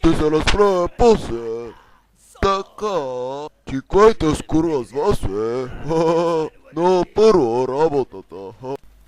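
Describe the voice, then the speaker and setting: Using a put-on character voice, a man speaks at a fairly high pitch. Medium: fan dub. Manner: gruff, quick to threaten.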